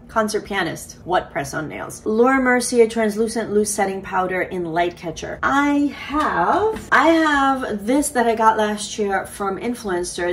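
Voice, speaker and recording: Noticeable background noise sits beneath speech with lively intonation. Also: woman. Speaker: beauty YouTuber. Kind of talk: casual chat.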